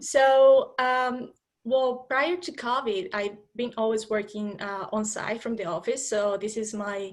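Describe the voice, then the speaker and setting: Delivery comes at a fairly slow pace with ordinary pitch variation. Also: woman, fairly high pitch for a woman. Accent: Spanish. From Colombia. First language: Spanish. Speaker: HR professional. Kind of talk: interview.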